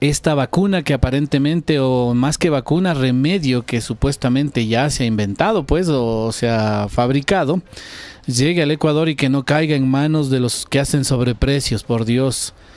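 The recording is dry with no echo, and a man's loudness stays very even. He talks at a moderate pace with ordinary pitch variation. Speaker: show host. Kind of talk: talk show commentary. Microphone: handheld.

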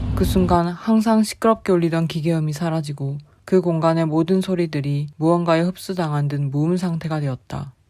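A woman's calm, very deep, low voice at a moderate pace, with noticeable background noise. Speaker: amateur horror story reader. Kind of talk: horror story reading. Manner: calm, understated.

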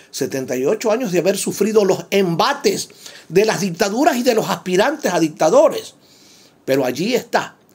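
A man with a high pitch moves through very wide pitch swings at a fairly slow pace. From Ecuador. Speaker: radio commentator. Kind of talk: spoken commentary. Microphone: phone near.

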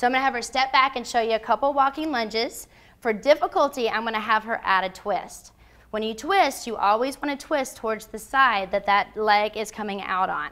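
At a fairly quick pace, a woman talks in a bright, sharp tone with big swings in loudness. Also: ordinary pitch variation. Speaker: fitness trainer. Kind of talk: tutorial. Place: gym.

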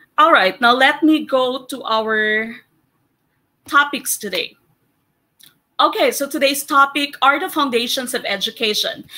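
Recorded very cleanly against a silent background, a woman projects a raised, bright, sharp voice at a high pitch with ordinary variation. She goes at a fairly slow pace with long, frequent pauses. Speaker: teacher and exam review coach. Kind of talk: lecture. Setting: live stream.

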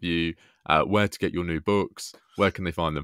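His pitch is very deep and low, and his intonation fairly even. The background is silent in this very clean recording. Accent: British. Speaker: history podcast host. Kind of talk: casual interview.

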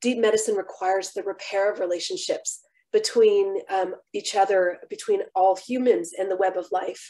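The speaker keeps a moderate tempo. All around is quiet. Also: woman. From San Francisco Bay Area, US. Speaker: physician and keynote lecturer; keynote lecturer. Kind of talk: lecture. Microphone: webcam.

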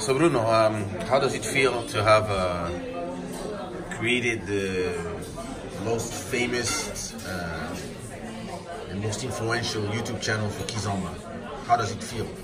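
Over background music, a man speaks at a fairly slow pace with ordinary pitch variation. He leaves long, frequent pauses. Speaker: vlogger. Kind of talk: casual vlog chat. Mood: relaxed, playful. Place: cafe. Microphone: phone near.

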